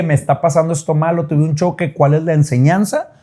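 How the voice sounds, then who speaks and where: Somewhat breathy and dark, mellow in tone, the voice moves at a fairly quick pace. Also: man. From northern Mexico, Monterrey. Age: 30s. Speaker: TV host and actor. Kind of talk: interview conversation.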